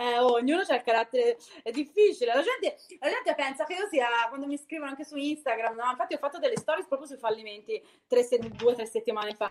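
Speaking at a very fast pace, a woman uses a high pitch, lively intonation, and big swings in loudness. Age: 40s. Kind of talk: casual chat.

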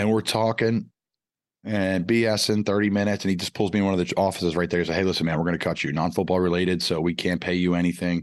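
A man's very deep, low voice in an American accent, very fast, with fairly even intonation and very even loudness. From Pennsylvania, Philadelphia area. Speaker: former NFL tight end. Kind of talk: casual chat.

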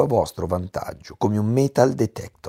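Recorded very cleanly, with a silent background and a dry, close sound with no echo, a man speaks with lively intonation. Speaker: business coach and podcast host. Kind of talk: motivational monologue.

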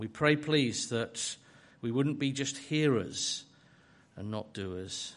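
Over a quiet background, a man speaks at a medium pitch with ordinary pitch variation. His very slow delivery has long, frequent pauses and big swings in loudness. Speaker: church leader. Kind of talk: prayer and scripture reading.

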